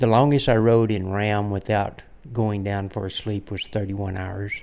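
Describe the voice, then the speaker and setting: Speaking at a moderate pace, a man delivers his words in a monotone, flat intonation at a fairly low pitch. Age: 60s. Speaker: endurance cyclist. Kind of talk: interview.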